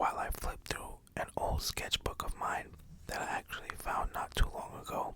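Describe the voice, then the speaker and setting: The voice is a whisper. It moves at a moderate pace against noticeable background noise. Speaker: ASMR creator, parent. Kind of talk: ASMR whispered ramble. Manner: whispered.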